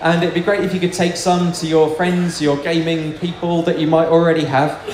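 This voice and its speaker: Noticeable background noise sits under this man's voice. He talks fairly quickly at a fairly high pitch. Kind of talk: Q&A and announcements.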